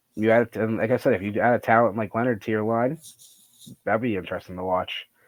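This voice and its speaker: A man speaks very fast at a medium pitch. His intonation is fairly even. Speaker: hockey podcast co-host. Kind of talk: casual chat.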